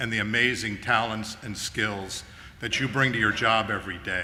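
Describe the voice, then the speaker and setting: With fairly even intonation, a man speaks amid noticeable background noise and audible room echo. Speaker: property manager. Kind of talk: company meeting speech. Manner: loud.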